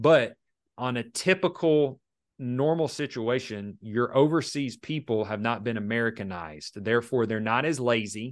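Here a man talks with a plain, everyday voice. His pace is moderate and his intonation lively. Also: medium pitch for a man. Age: 30s. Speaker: restoration business owner. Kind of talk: casual interview chat.

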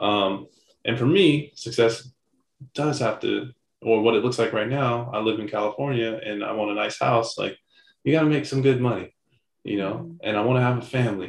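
This man has an ordinary speaking voice at a medium pitch, talking at a moderate pace with ordinary pitch variation. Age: 30s. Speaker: podcast co-host. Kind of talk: casual chat.

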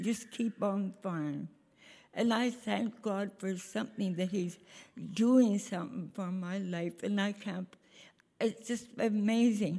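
Very slowly and with long, frequent pauses, a woman of medium pitch speaks in a somewhat breathy, dark, mellow tone with fairly even intonation. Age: 90s. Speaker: church member. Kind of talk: testimony.

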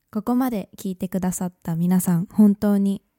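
Speaking at a moderate pace, a woman with a medium pitch and a dark, mellow tone keeps her intonation fairly even, the sound dry and close with no echo on a very clean recording with a silent background. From Japan. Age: 20s. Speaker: podcast host. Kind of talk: casual monologue. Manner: chatty.

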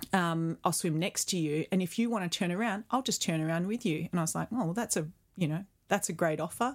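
A woman with an Australian accent speaks at a very fast pace and a fairly low pitch. The recording is very clean, with a silent background. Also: ordinary pitch variation. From Perth, Western Australia. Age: 40s. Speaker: photographer and retreat creator. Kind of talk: casual interview.

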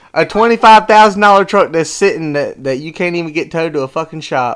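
A man with a Southern US accent, fairly high pitch, very wide pitch swings and a fairly quick pace, on a very clean recording with a silent background. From North Carolina. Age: 20s. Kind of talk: heated argument.

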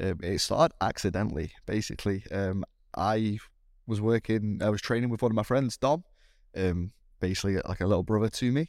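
Fairly quick and fairly low in pitch, a man speaks with ordinary pitch variation in a very clean recording with a silent background and a dry, close sound with no echo. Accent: British. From Britain. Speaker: CrossFit athlete and primary school teacher. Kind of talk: casual interview chat.

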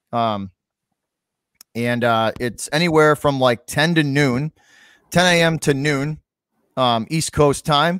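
A man with a fairly high pitch speaks at a very slow pace with long, frequent pauses and ordinary pitch variation, in a dry, close sound with no echo on a very clean recording with a silent background. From Massachusetts. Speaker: sports podcast host. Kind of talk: casual chat. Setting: live stream with chat.

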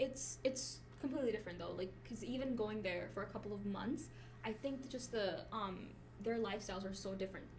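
Amid noticeable background noise, a woman talks at a fairly quick pace. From Pakistan, raised in US from age nine. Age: 20s. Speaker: podcast co-host. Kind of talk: casual chat.

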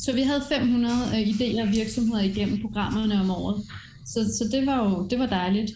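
A woman speaks at a moderate pace in a fairly high voice with ordinary pitch variation and very even loudness. Room echo is audible. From France. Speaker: education executive and entrepreneur. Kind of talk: interview.

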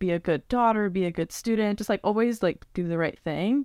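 A woman speaks in a plain, everyday voice at a medium pitch and moderate pace. Her pitch varies in an ordinary way, on a very clean recording with a silent background. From US, Northern Virginia. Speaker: travel photographer and content creator. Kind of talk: casual interview chat. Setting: home recording in a bedroom.

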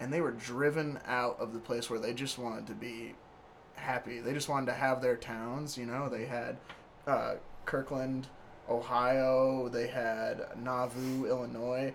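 A man speaks fairly slowly at a medium pitch in a monotone, flat intonation. Noticeable background noise runs underneath. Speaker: podcast host. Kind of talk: casual chat.

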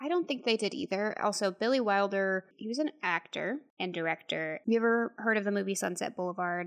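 Using a normal speaking voice, a woman talks at a fairly quick pace with ordinary pitch variation and hardly any pauses. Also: medium pitch for a woman. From Texas. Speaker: podcast co-host. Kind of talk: casual chat, movie review.

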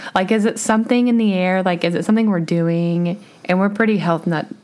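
Medium-pitched woman at a moderate pace, fairly even intonation, noticeable background noise. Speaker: podcast co-host. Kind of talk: casual chat.

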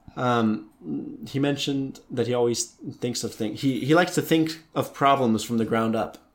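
Here is a man with an ordinary speaking voice. He has an American accent and a medium pitch. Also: ordinary pitch variation, moderate pace. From United States. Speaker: podcast co-host. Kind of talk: casual chat.

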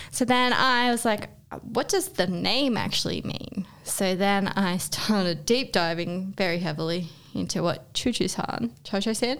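In an Australian accent, a woman speaks at a medium pitch and a fairly slow pace. Her intonation is lively. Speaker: podcast co-host. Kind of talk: casual chat.

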